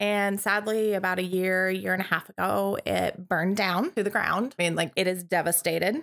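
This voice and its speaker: In a plain, everyday voice, a woman with an American accent and medium pitch speaks at a moderate pace with hardly any pauses, very even loudness, and ordinary pitch variation on a very clean recording with a silent background. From Montana. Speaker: guest co-host. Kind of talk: casual chat.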